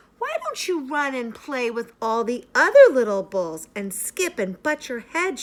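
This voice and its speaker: Doing a put-on character voice, a woman speaks at a high pitch and a moderate pace. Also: hardly any pauses. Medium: read story.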